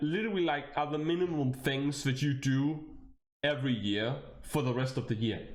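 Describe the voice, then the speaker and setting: Speaking at a moderate pace with a Danish accent, a man is heard with audible room echo. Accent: Danish accent, noticeable. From Denmark. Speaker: VTuber streamer. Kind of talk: casual livestream chat. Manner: animated.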